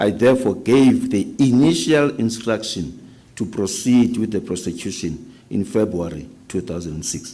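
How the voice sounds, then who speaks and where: Speaking at a moderate pace, a man uses lively intonation, with vocal fry and a dark, mellow tone at a fairly low pitch. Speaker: witness at a public inquiry. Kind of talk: reading aloud. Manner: loud.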